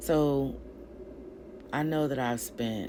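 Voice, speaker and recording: With noticeable background noise and audible room echo, a woman talks at a very slow pace. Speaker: vlogger with a doctorate sharing personal story. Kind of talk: personal vlog monologue. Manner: loud.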